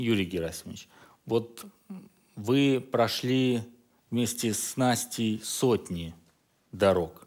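Very slow and broken by long, frequent pauses, a man's speech shows ordinary pitch variation over a quiet background. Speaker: TV talk show host. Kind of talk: studio discussion moderating. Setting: studio. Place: studio. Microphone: headset.

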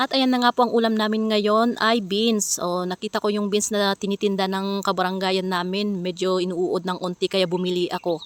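A woman speaks in a monotone, flat intonation at a fairly quick pace with hardly any pauses, in a dry, close sound with no echo. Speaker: vlogger and mother. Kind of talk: vlog voice-over narration. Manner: casual, frequent laughing.

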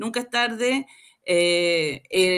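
Lively intonation at a very slow pace. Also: woman, quiet background. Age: 50s. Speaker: program participant giving testimonial; guest. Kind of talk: testimony. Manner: halting. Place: home room.

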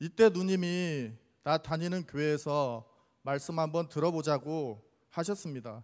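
The pace is fairly slow, and the pitch varies in an ordinary way. The background is quiet. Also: man, fairly high pitch for a man. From Jeonju, South Korea; South Korea. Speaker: church deacon giving testimony. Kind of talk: testimony. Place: church. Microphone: handheld.

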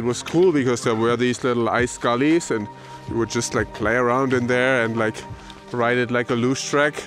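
Faint music plays in the background behind a man whose medium-pitched, fairly bright voice keeps a fairly even intonation.

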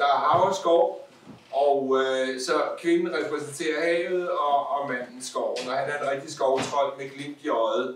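Over noticeable background noise, a man speaks very slowly at a fairly high pitch with fairly even intonation. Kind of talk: casual chat. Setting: stage with audience. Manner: halting.

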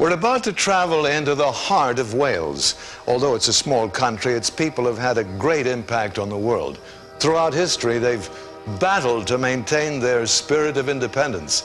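A man talking at a moderate pace over clear background music. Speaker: travel show host. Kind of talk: presenter introduction. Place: studio. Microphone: lapel.

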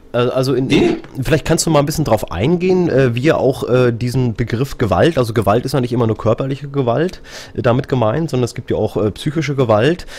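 A man with an unremarkable speaking voice, fairly quick pace, medium pitch and ordinary pitch variation. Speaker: radio host. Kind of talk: live radio talk show moderation. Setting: live stream and radio broadcast.

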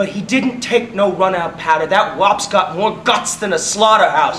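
A man speaks at a fairly slow pace. Light background noise and audible room echo can be heard. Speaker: stage actor. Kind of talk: theatrical monologue. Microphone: camera far.

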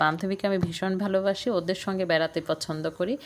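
A woman's normal speaking voice at medium pitch, with fairly even intonation. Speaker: cooking and travel vlogger. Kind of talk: travel vlog narration.

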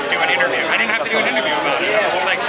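A man speaks with crowd noise in the background. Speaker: actor at festival event. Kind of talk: interview answer. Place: street. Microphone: handheld.

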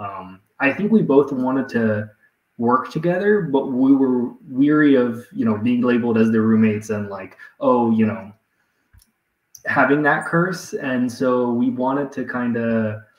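There is audible room echo as a man talks at a fairly slow pace with ordinary pitch variation. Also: quiet background. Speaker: guest. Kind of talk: interview answer. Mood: reflective, relaxed. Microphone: video call.

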